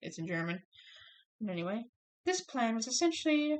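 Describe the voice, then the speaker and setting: Her pitch swings very widely as a woman talks at a moderate pace. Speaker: student. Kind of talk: class presentation speech. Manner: stuttering, hesitant.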